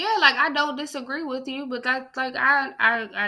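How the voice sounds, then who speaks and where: High pitch from a female speaker in a raised, projected voice with a bright, sharp tone. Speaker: podcast co-host. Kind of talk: casual chat. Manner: animated; stuttering at times.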